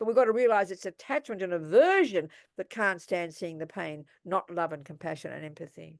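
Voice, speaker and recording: With an Australian accent, a woman speaks at a fairly quick pace and a fairly low pitch, her intonation lively. Her loudness swings widely against a quiet background. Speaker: Buddhist nun and teacher. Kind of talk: dharma talk with Q&A. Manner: animated.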